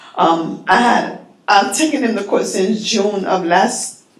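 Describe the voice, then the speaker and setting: A woman's medium-pitched voice with an American accent, lively intonation and a very slow pace, with audible room echo and noticeable background noise. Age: 50s. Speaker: public housing resident speaking at public comment. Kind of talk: public comment testimony. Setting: public board meeting. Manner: halting, hesitant.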